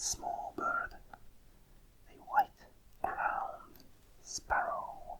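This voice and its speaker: Whispering at a very slow pace over noticeable background noise. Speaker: ASMR creator. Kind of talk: ASMR card readout, whispered. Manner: whispered, soft.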